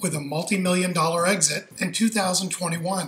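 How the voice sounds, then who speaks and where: A man speaks in a raised, projected voice. Faint music plays in the background. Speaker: channel host. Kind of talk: channel intro to camera. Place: street. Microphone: phone near.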